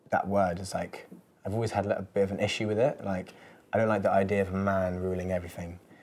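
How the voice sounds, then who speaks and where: The speaker has an English accent and a monotone, flat intonation. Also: man. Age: 20s. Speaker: musician. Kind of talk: casual chat. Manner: hesitant, many fillers.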